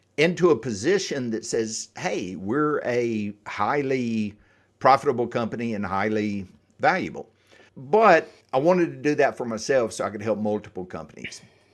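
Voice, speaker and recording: A man with lively intonation and a slight Southern US accent, on a very clean recording with a silent background. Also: medium pitch for a man, moderate pace. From US South, Atlanta, Georgia area. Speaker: exit planning advisor. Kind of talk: podcast interview.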